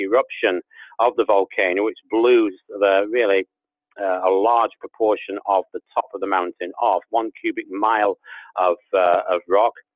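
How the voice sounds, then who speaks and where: A man talks with an English accent. His pitch is fairly low and his intonation fairly even. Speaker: guest, leader of a creation ministry.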